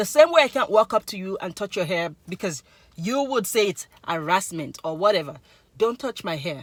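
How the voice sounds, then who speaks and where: A woman speaks at a medium pitch and moderate pace in an animated tone. Her pitch swings very widely and her loudness rises and falls sharply, in a dry, close sound with no echo. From Nigeria. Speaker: YouTuber. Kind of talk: casual vlog monologue.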